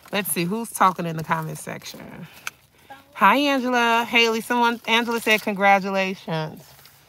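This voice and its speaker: Talking at a moderate pace, a woman uses lively intonation and big swings in loudness, in a dry sound with no echo and light background noise. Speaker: dumpster diving vlogger. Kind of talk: casual vlog narration. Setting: outdoors and in a car. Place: car. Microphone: phone near.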